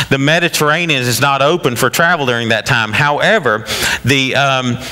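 At a moderate pace and medium pitch for a man, a man talks over clear background noise.

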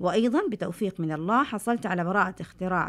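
In a plain, everyday voice, a woman speaks at a moderate pace with lively intonation on a very clean recording with a silent background. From Saudi Arabia, Medina (Hejaz). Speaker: scientist, university professor. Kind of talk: scripted narration. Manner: formal.

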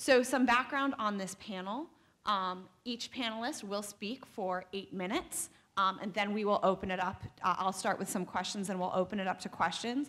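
At a moderate pace, a woman speaks in a bright, sharp tone with ordinary pitch variation. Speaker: panel moderator. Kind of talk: panel introduction. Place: hall. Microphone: podium.

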